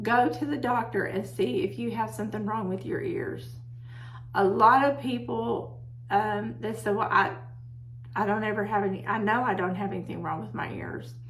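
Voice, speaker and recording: Over audible room echo, a woman with an American accent speaks at a moderate pace in a very deep, low pitch with very wide pitch swings. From Texas. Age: 60s. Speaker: herbalist video host. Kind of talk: casual talk to camera. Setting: home office. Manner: loud.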